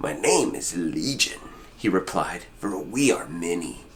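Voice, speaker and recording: A man's put-on character voice, fairly low and fairly slow, over clear background noise. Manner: menacing.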